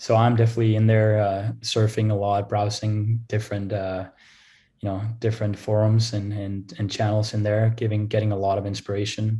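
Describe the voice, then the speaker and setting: A man's fairly low, dark, mellow voice, somewhat breathy, monotone and flat, at a fairly quick pace. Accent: Danish. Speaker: revenue operations analyst. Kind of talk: interview. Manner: hesitant, many fillers and repeats.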